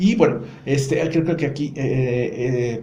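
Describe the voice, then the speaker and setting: Audible room echo surrounds a man speaking at a fairly high pitch with ordinary pitch variation. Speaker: psychologist podcast host. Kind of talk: casual chat.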